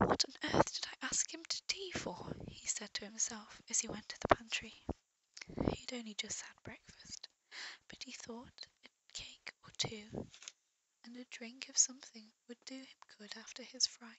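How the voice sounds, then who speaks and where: Whispering broken by long, frequent pauses. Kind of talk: read story. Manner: soft-spoken, whispered.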